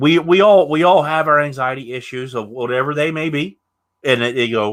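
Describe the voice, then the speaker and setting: A man in a normal speaking voice talks at fairly high pitch with ordinary pitch variation. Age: 30s. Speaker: podcast host. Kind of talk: casual interview chat.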